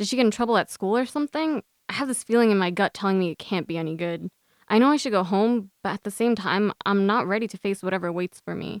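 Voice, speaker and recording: This very clean recording has a silent background and a dry, close sound with no echo. A woman talks at a very fast pace, with medium pitch and ordinary pitch variation. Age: 20s. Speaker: student writer. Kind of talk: reading aloud.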